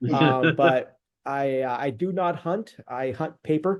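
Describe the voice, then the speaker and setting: Heard over a quiet background, an unremarkable speaking voice with an American accent moves through ordinary pitch variation. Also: man. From California. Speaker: business growth consultant. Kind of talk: casual business call introduction.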